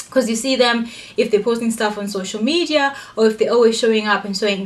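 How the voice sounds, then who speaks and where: An animated, fairly high-pitched woman at a fairly quick pace amid noticeable background noise. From Africa. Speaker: vlogger. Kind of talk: casual advice monologue. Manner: loud.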